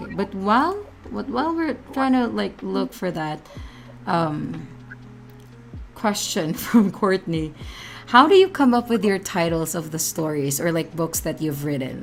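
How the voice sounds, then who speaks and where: Music runs in the background while the speaker goes at a fairly slow pace. The pitch swings very widely, with long, frequent pauses. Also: woman, fairly low pitch for a woman. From Philippines. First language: Filipino language. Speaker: streamer host. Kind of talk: live stream interview. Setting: live stream.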